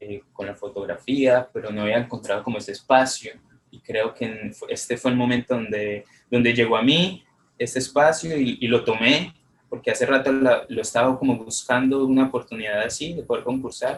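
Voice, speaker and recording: The pitch shifts in an ordinary way as the words come at a moderate pace. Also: man, medium pitch for a man. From Colombia. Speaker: photographer and poet, contest winner. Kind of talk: interview. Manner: halting.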